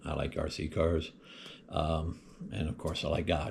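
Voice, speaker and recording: A somewhat breathy man's voice proceeds at a moderate pace. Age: 60s. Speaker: hobby vlogger. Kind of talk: casual chat. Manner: halting, many fillers. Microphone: built-in mic, before buying a microphone.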